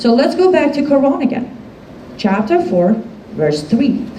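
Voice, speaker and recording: A woman speaks in an animated tone at a moderate pace, with audible room echo and noticeable background noise. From Iran. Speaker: activist speaker. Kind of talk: public talk to a live audience.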